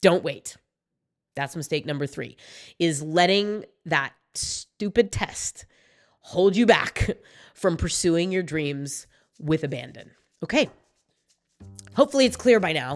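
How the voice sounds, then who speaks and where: Pausing long and often, a woman speaks at a fairly slow pace in a fairly low pitch with very wide pitch swings. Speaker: MBA admissions coach, video host. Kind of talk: direct-to-camera advice video. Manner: casual, conversational.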